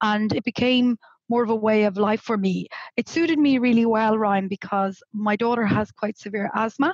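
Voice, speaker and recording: With a slight Irish accent, a woman speaks at a moderate pace and very even loudness, with ordinary pitch variation and a dry, close sound with no echo. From Ireland, Galway (west coast). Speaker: remote work educator. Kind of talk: podcast interview. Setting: video call from home, on a sofa.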